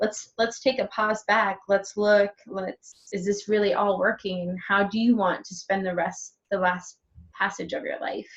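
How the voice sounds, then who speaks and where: Fairly slow, somewhat breathy speech from a woman. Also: medium pitch for a woman, fairly even intonation. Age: 30s. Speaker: interviewer, healer. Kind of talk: interview.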